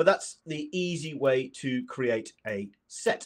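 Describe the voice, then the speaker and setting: Against a quiet background, a man with a British accent speaks with ordinary pitch variation. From UK. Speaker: data analytics presenter; presenter. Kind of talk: software tutorial presentation. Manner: fast. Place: home room.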